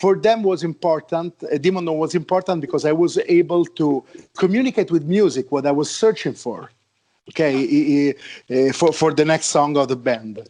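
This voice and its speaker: A man with an Italian accent, a dark, mellow tone, fairly high pitch and ordinary pitch variation, at a moderate pace against a quiet background. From Italy, Rome. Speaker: heavy metal musician. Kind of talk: interview. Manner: halting, many repeated words.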